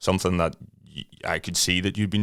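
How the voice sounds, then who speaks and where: A man with an Irish accent speaks with fairly even intonation. The recording is very clean, with a silent background. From Ireland. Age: 30s. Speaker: podcast host. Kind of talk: casual chat.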